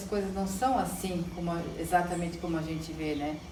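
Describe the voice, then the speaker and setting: With noticeable background noise and audible room echo, a woman talks at a fairly low pitch with fairly even intonation. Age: 60s. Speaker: psychologist, mother of the host. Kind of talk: family interview, personal recollection.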